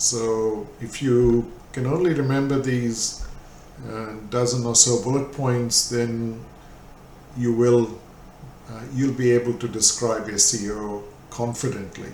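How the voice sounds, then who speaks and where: A man's medium-pitched voice at a very slow pace, fairly even intonation, with audible room echo. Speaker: SEO manager. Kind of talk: lecture.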